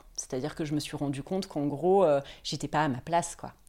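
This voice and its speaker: A woman's dark, mellow tone with ordinary pitch variation, on a very clean recording with a silent background. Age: 30s. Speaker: image consultant and founder. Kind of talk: interview.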